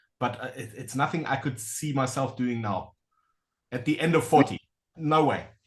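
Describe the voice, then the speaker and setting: A man with a somewhat breathy voice at medium pitch speaks at a moderate pace with ordinary pitch variation and long, frequent pauses. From Southern Africa. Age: 40s. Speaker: interviewer. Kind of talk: casual interview chat.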